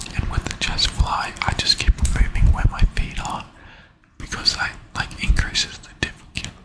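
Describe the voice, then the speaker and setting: A man whispering at a moderate pace, with big swings in loudness, over noticeable background noise. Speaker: ASMR creator and gym-goer. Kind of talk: whispered gym voiceover, ASMR. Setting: gym, close-up mic.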